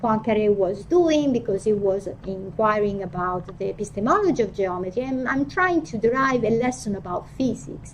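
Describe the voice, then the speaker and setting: A woman speaks with an Italian accent and a fairly high pitch. Her intonation is lively, and the room echo is audible. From Italy. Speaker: philosophy of physics professor. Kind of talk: academic lecture. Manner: halting, frequent fillers and restarts.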